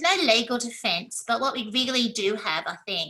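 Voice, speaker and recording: A woman with an Australian accent, fairly high-pitched, with a bright, sharp tone and a moderate pace. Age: 60s. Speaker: academic presenter. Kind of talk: conference talk.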